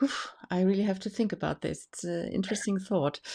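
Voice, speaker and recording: On a very clean recording with a silent background, a woman of medium pitch speaks with a German accent and ordinary pitch variation. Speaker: tarot association host. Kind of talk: interview. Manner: halting.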